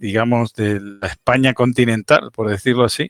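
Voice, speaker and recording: Fairly even intonation and a moderate pace from a man at medium pitch. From Spain, island. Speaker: ham radio net host. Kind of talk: casual interview. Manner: halting, many fillers.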